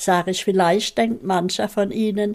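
The recording is very clean, with a silent background. A woman speaks at a medium pitch in a dark, mellow tone. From Mannheim, Germany. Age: 90s. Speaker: contemporary witness. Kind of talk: interview testimony. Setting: at home. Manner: lively.

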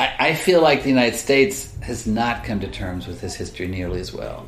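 Noticeable background noise and audible room echo surround a man with an American accent who talks at a fairly quick pace. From Oklahoma, US. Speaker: author and magazine writer. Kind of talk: interview.

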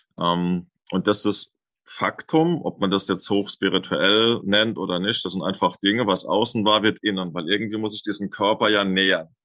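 The man's voice sits fairly low and has a bright, sharp tone. The sound is dry and close with no echo, over a quiet background. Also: ordinary pitch variation, moderate pace. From Germany, southern Hesse (Lorsch). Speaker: Ayurveda cook and cookbook author. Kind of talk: interview. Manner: hesitant, many filler words.

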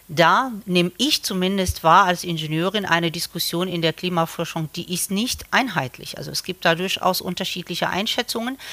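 A woman with a fairly low pitch and a bright, sharp tone speaks at a moderate pace with ordinary pitch variation and hardly any pauses. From Morocco. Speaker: civil engineering professor. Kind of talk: interview.

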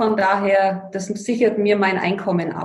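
At a moderate pace, a woman speaks at medium pitch in a plain, everyday voice. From Bavaria, Allgäu (Füssen). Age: 50s. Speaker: financial coach. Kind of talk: interview. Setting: remote call.

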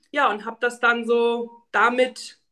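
The woman's voice is high in pitch with a bright, sharp tone. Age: 30s. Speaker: podcast guest, patient with lipedema. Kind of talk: casual interview.

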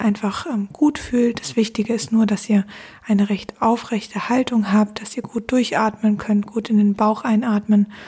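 This woman has an ordinary speaking voice with a fairly high pitch. Her intonation stays fairly even, and her pace is fairly slow. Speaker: podcast host guiding a meditation. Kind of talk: guided meditation. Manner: slow, calm and soothing, with long pauses.

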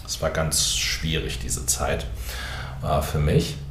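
The speech comes at a very slow pace. Audible room echo and noticeable background noise surround it. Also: man. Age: 50s. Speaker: pastor. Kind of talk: podcast monologue. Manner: hesitant.

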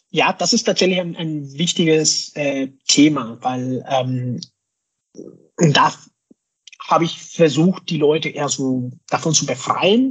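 A man talks at a very slow pace with long, frequent pauses, using a fairly high pitch and ordinary pitch variation. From Mexico. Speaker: scrum master and hardware designer. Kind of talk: interview. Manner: hesitant, many fillers.

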